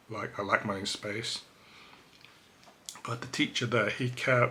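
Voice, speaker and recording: A man with a medium-pitched voice talks at a moderate pace amid noticeable background noise. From England, Cambridge. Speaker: vlogger. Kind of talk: personal testimony. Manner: hesitant, filler-heavy.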